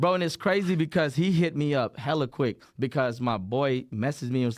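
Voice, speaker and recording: A man is talking, his pitch varying in an ordinary way. The recording is very clean and the background silent. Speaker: hairstylist specializing in dreadlocks. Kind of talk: casual podcast chat. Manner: casual, slangy, halting at times.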